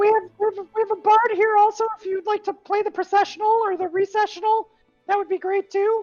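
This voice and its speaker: A put-on character voice runs at a fairly quick pace with an extremely high pitch and a monotone, flat intonation. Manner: helpful, offering services.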